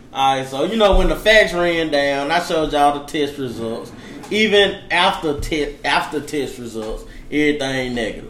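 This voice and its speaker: Amid noticeable background noise and audible room echo, a man with a fairly high voice speaks at a moderate pace with ordinary pitch variation. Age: 20s. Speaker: podcast co-host. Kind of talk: casual chat.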